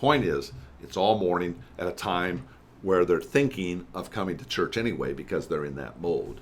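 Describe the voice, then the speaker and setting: Lively intonation and vocal fry mark this man's very deep, low voice, delivered at a moderate pace. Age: 60s. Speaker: church consultant. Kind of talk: podcast interview. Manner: conversational, with many fillers and restarts.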